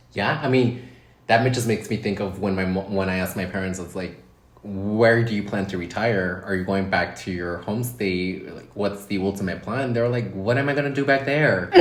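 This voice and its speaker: A man speaks at a moderate pace with ordinary pitch variation. His pitch is fairly low, and the room echo is audible. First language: Spanish. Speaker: podcast co-host. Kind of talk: casual chat.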